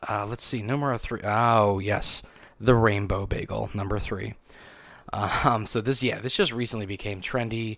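A man's fairly low voice at a moderate pace, fairly even intonation, an unremarkable speaking voice. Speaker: podcast host. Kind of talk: casual solo monologue. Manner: casual, rambling, filler words.

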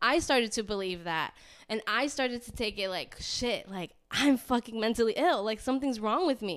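A woman with an American accent uses an ordinary speaking voice, fairly high in pitch with lively intonation and a moderate pace, on a very clean recording with a silent background. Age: 20s. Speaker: podcast host. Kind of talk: casual chat.

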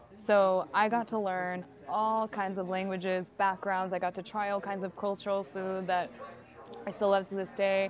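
A woman with an American accent speaks at a moderate pace and medium pitch in a monotone, flat intonation, with music in the background. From California, Sacramento. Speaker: content creator. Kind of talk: casual chat.

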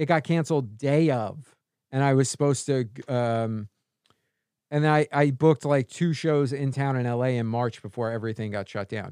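In an American accent, a man with a dark, mellow tone talks at a moderate pace, with a dry, close sound that has no echo. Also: medium pitch for a man, ordinary pitch variation, quiet background. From New York, Staten Island. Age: 30s. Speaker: stand-up comedian. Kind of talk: casual chat.

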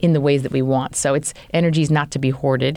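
A woman with a General American accent talks at a fairly quick pace in a dark, mellow tone. The recording is very clean, with a silent background. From US Pacific Northwest, Tacoma, Washington. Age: 40s. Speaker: rabbi. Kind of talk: interview.

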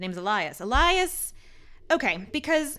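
A woman with an American accent, her bright, sharp tone making very wide pitch swings, in a very clean recording with a silent background. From Queens, New York City. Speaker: podcast co-host, museum educator. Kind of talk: casual chat.

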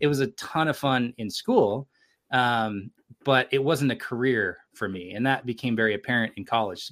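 A man talks in an ordinary speaking voice at a moderate pace, his pitch variation ordinary, on a very clean recording whose background is silent. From California (Sacramento area). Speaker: creative entrepreneur and film producer. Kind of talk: casual interview conversation.

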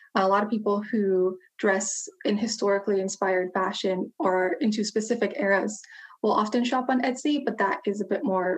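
A plain, everyday voice with an American accent moves at a moderate pace with hardly any pauses, very even loudness and ordinary pitch variation. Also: woman. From United States. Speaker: historian and social media educator. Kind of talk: casual interview chat.

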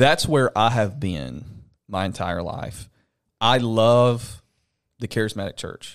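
A man's medium-pitched voice in a Southern US accent, very slow with long, frequent pauses and ordinary pitch variation, in a very clean recording with a silent background. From Alabama. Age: 20s. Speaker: pastor. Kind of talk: casual chat. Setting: home studio.

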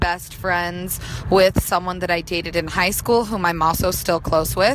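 The speaker has an American accent, with noticeable background noise behind the voice. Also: woman. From Utah. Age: 20s. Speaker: caller. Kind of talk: voicemail question.

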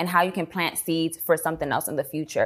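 On a very clean recording with a silent background, a woman with a normal speaking voice and an American accent talks in a fairly low pitch with fairly even intonation. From New York City, South Bronx. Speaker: entrepreneur. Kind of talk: casual interview.

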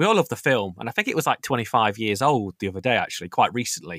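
A man speaks with an East Midlands accent. The sound is dry and close, with no echo. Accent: East Midlands, similar to host's. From East Midlands, England (Nottingham). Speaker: strategy gaming enthusiast. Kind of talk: casual chat. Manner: halting, many fillers and restarts.

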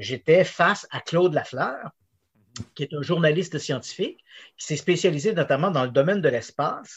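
Intonation is lively in this man's high voice. He talks at a moderate speed. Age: 50s. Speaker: investigative journalist. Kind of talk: interview.

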